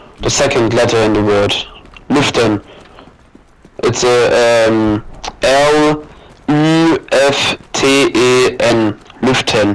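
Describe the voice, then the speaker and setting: Noticeable background noise sits behind a man who speaks very slowly, with long, frequent pauses. His loudness is very even, and his pitch varies in an ordinary way. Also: medium pitch for a man. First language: German. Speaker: gamer. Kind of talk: casual chat. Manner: halting.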